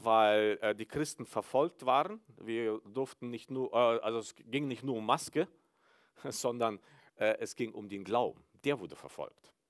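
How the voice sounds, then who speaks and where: A man talks at a medium pitch and a very slow pace. The sound is dry and close, without any echo. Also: ordinary pitch variation. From Mennonite village in Kyrgyzstan. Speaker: pastor. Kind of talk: sermon. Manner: hesitant, many filler sounds.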